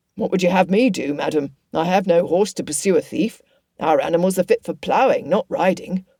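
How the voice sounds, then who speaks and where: A raspy, put-on character voice at a middle pitch goes along at a fairly quick pace. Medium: read story. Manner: dry, resigned.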